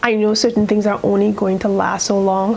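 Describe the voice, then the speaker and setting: A woman's medium-pitched voice in monotone, flat intonation at a moderate pace, with noticeable background noise. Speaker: sewing youtuber. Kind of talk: casual chat. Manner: chatty, rambling.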